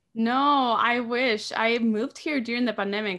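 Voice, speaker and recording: A woman speaks in a bright, sharp tone with ordinary pitch variation against a quiet background. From Argentina. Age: young. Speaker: orchestra conductor; guest. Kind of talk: casual chat. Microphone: video call.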